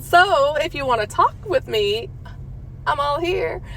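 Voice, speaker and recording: Over noticeable background noise, a woman with an American accent talks at a moderate pace. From Louisiana. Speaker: true crime podcast host. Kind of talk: podcast monologue. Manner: casual, chatty.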